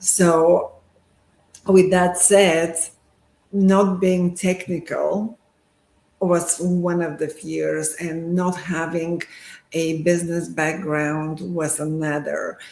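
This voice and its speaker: A woman with a Bulgarian accent and fairly low pitch, very slow and monotone with flat intonation, with long, frequent pauses. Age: 50s. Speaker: sonographer. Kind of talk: live interview.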